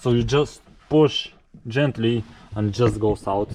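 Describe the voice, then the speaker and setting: With a Lithuanian accent, a man at medium pitch speaks at a very slow pace with fairly even intonation. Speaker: car restorer. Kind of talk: casual talk to camera.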